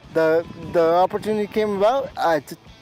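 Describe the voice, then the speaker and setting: A man's speech shows ordinary pitch variation while music plays behind him. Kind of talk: interview answer in a TV feature. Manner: halting, repeating words.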